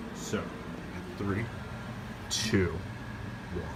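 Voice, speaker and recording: A strained, put-on character voice from a man over loud background noise. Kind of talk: casual talk to camera, fire alarm test video. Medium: role play. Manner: playful, half-restrained spooky delivery.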